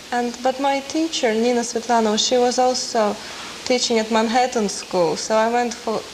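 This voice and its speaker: A woman speaks at a moderate pace in a high pitch, with fairly even intonation and very even loudness. Noticeable background noise is present. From Russia, Moscow. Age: 20s. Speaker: concert pianist. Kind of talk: interview.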